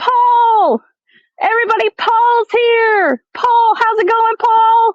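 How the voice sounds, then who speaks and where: A squeaky put-on character voice shouts at an extremely high pitch. The pace is very slow. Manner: yelling excitedly.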